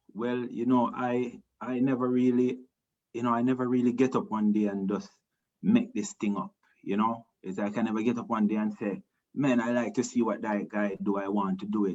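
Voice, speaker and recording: A man with a Jamaican accent, medium pitch, ordinary pitch variation and a moderate pace. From Jamaica, Montego Bay. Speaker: reggae singer. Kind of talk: interview. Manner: halting.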